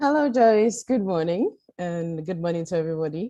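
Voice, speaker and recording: A woman speaks with a dark, mellow tone and a fairly low pitch. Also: quiet background. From Ghana. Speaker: patient advocate. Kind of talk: testimony.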